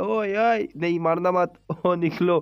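The background is silent and the recording very clean. The voice is a man's. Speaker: gaming YouTuber. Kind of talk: gameplay commentary. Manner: animated; stumbling over words.

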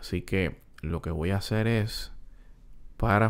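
At a very slow pace, a man speaks in a fairly low pitch with fairly even intonation. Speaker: music production tutorial youtuber; music producer tutor. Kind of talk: tutorial. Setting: home recording room. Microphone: studio mic.

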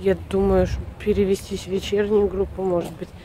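A woman speaks at a moderate pace over light background noise, the sound dry with no echo. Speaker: family vlogger. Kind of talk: casual vlog chat. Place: street. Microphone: phone near.

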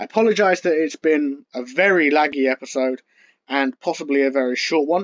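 A man's pitch shifts in an ordinary way while the background stays quiet. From UK. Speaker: gaming YouTuber. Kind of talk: casual gameplay commentary. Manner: annoyed, chatty. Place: home room.

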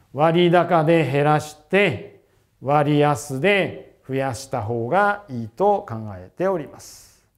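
The voice moves at a very slow pace with lively intonation and big swings in loudness. The background is quiet. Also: man, fairly high pitch for a man. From Japan. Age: 50s. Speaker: financial planner and investment newsletter writer; investment newsletter writer. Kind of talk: investment seminar talk. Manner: formal. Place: studio. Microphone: lapel.

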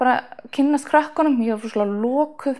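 A woman's dark, mellow tone over a quiet background. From northeast Iceland, rural Þingeyjarsveit; Iceland. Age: 20s. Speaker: athlete, long jumper and sprinter. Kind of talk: interview. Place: home room. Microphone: lapel.

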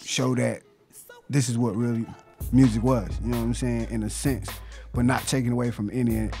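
Faint music sits in the background as the voice moves at a fairly quick pace, the sound dry with no echo. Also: man. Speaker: guest. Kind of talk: interview answer. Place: studio. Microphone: studio mic.

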